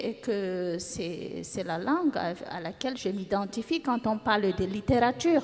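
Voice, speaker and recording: Speaking at a very slow pace, a woman's voice moves in very wide pitch swings. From Cameroon. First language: African mother tongue (speaking French). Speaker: novelist. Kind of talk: panel discussion. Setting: stage with audience.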